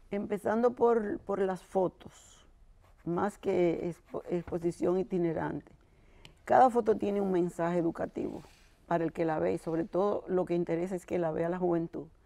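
Using a dark, mellow tone, a woman speaks fairly low at a moderate pace with ordinary pitch variation. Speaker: sister of a fallen militant; interview guest. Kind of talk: interview. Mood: emotional, passionate recollection. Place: studio. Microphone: lapel.

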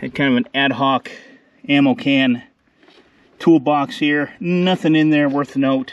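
A man speaks at a fairly slow pace with ordinary pitch variation. The sound is dry with no echo. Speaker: tractor restorer. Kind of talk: casual walkaround commentary. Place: open country. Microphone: phone near.

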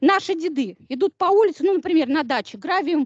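A woman speaks against a quiet background, her sound dry and close with no echo. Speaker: university lecturer. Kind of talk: lecture. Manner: animated.

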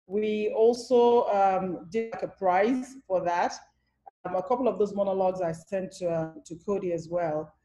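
Over light background noise, a woman speaks at a fairly slow pace in a dark, mellow tone. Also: ordinary pitch variation. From Nigeria. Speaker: theatre director and producer; panelist. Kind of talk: panel discussion. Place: home room. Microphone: video call.

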